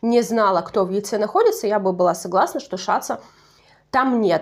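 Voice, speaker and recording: Her voice is fairly high in pitch, with ordinary pitch variation. The woman talks at a moderate pace. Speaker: YouTube TV show reviewer. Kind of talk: casual video commentary. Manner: conversational, self-correcting.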